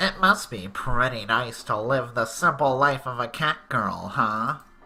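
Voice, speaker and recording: A man puts on a character voice at a medium pitch. He talks at a fairly slow pace with ordinary pitch variation. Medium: read story. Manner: soft-spoken, gentle.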